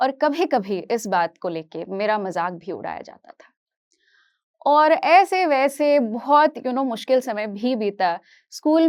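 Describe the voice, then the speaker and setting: Captured in a very clean recording with a silent background, a woman speaks at a high pitch with very wide pitch swings. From Kashmir, raised partly in Hyderabad from age 8. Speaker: psychology teacher. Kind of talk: motivational talk.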